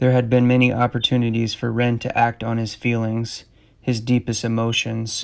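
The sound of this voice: An unforced reading voice carries the recording.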